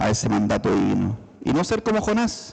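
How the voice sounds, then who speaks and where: A man talks at a very slow pace. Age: 60s. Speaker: lay preacher. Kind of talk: sermon. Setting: church service.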